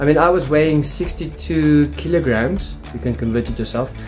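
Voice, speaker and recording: Faint background music under a man's moderate-paced speech. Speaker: home gym vlogger. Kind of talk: casual vlog chat. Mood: candid, self-deprecating. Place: home room. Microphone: phone near.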